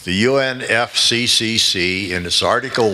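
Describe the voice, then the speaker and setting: A man's lively intonation over noticeable background noise. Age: 80s+. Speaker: physicist speaking at a conference. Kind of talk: conference talk. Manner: halting.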